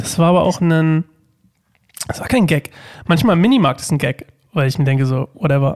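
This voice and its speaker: A man's high-pitched voice has a dry, close sound with no echo. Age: 30s. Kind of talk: casual chat.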